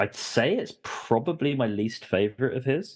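With a quiet background behind him, a man speaks in an English accent with lively intonation. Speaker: podcast guest. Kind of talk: casual chat.

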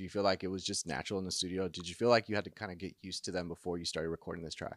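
A man with a very deep, low pitch is heard in a dry, close sound with no echo on a very clean recording with a silent background. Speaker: music interviewer. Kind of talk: casual interview. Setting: studio. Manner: friendly, laughs often.

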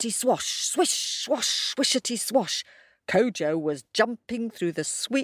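Someone reads aloud plainly with lively intonation over a quiet background.

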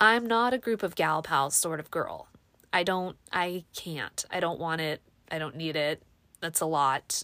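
Heard on a very clean recording with a silent background, a woman has an unremarkable speaking voice, fairly low in pitch, with ordinary pitch variation. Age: 40s. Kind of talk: casual monologue. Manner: chatty with fillers and laughs.

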